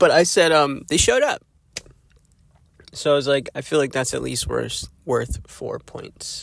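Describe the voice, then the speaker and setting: A man speaks in a raspy, put-on character voice. His pace is moderate, broken by long, frequent pauses. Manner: slightly slurred speech.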